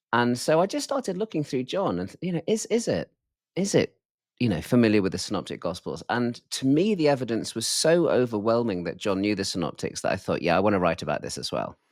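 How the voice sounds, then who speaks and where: A man with a British accent speaks at a medium pitch and a fairly quick pace. His pitch swings very widely, and the recording is very clean with a silent background. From UK. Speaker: professor. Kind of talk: interview.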